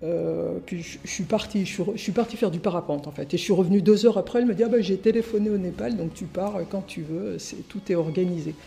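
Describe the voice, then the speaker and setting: A woman at a medium pitch, a fairly quick pace with hardly any pauses, and ordinary pitch variation. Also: big swings in loudness. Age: 60s. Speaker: journalist and author. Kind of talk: testimony. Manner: halting.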